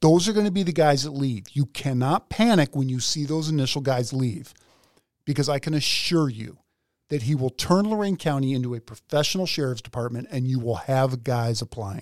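The speaker sounds animated, with lively intonation and an American accent, at a fairly quick pace. The recording is very clean, with a silent background. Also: man, fairly high pitch for a man. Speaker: podcast host and police officer. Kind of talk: casual chat.

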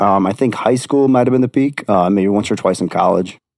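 Here a man has an ordinary speaking voice at a medium pitch. His pace is fairly quick. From Wisconsin. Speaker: podcast guest sharing paranormal experiences. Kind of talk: casual chat.

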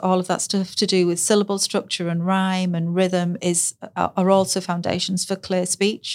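A woman with a northern English accent speaks at a moderate pace and medium pitch, in a monotone, flat way. The recording is very clean, with a silent background. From northern England. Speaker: speech and language therapist. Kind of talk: casual interview chat.

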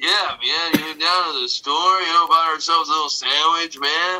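A man's high-pitched, drawling put-on character voice at a moderate pace. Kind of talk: casual. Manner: laid-back, drawling.

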